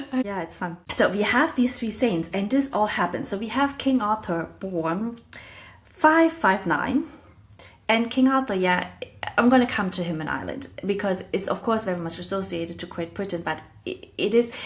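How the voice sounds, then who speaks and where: At a moderate pace, a woman with a German accent speaks at a medium pitch with lively intonation. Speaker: podcast host. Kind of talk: educational monologue.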